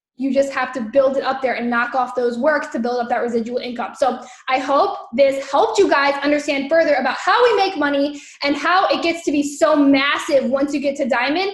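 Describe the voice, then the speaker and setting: A woman's high voice at a fairly quick pace, with audible room echo and noticeable background noise. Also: ordinary pitch variation. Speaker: network marketing trainer. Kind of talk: training livestream. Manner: animated.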